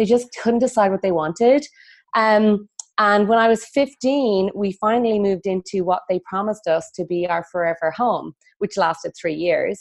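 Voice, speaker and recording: A woman with an Irish accent speaks at a moderate pace, her medium pitch moving with ordinary variation. The sound is dry and close with no echo, and the background is quiet. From west of Ireland. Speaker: feng shui consultant. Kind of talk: interview conversation.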